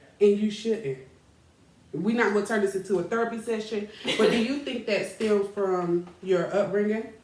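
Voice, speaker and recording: A woman's medium-pitched, animated voice with ordinary pitch variation at a moderate pace, over noticeable background noise and audible room echo. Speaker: talk show host. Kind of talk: casual chat. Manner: loud.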